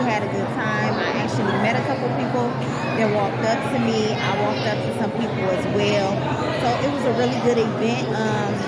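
Over crowd noise in the background, a woman talks at a fairly quick pace. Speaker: vlogger. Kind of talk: casual vlog chat. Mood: upbeat, pleased. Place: hall. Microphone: phone near.

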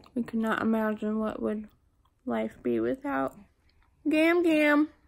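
The delivery moves at a fairly slow pace with lively intonation. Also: woman. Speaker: mother vlogger. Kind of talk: casual vlog chat. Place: home room. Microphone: phone near.

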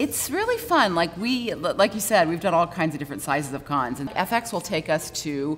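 Faint music plays in the background as a woman with an American accent talks at a fairly quick pace. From Georgia, USA. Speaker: voice actor. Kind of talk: interview answer. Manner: casual, chatty. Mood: warm, upbeat. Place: bar. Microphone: lapel.

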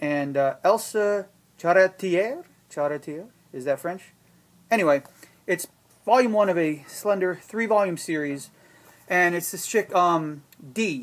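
A man talks at a fairly slow pace with ordinary pitch variation and long, frequent pauses. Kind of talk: casual product showcase. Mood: wry, joking. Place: shop. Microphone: camera far.

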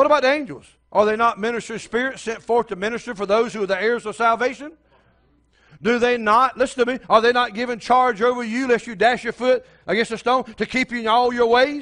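A man speaks at a fairly quick pace with an extremely high pitch and a fairly bright tone. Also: fairly even intonation.

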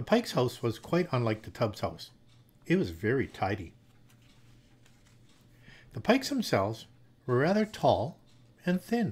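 A man talks with vocal fry. His pitch makes very wide swings. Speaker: storyteller. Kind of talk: story reading aloud. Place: home room. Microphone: studio mic.

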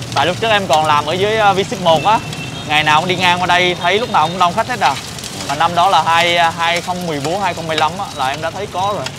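Against noticeable background noise, a man with a high pitch talks at a fairly quick pace with ordinary pitch variation. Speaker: food vlogger host. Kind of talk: casual vlog chat. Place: street. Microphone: lapel.

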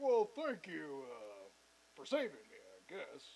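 A character voice comes through in a cartoonish style. The delivery is fairly slow. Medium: puppet. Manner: hesitant, then eager and goofy.

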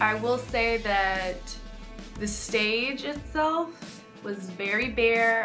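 Clear music plays in the background as a woman talks with ordinary pitch variation. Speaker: k-pop vlogger. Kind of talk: casual vlog chat. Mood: mildly disappointed, opinionated. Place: home room. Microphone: phone near.

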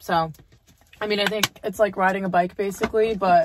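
The background is quiet and the sound is dry with no echo. A woman talks in a monotone, flat way. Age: 20s. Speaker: lifestyle vlogger. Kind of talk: casual vlog chat. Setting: in a car. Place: car. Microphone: phone near.

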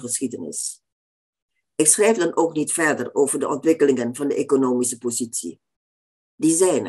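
A woman speaks at a moderate pace in a very deep, low voice with a dark, mellow tone over a quiet background. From Indonesia. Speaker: author. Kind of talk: lecture. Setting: stage with audience. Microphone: webcam.

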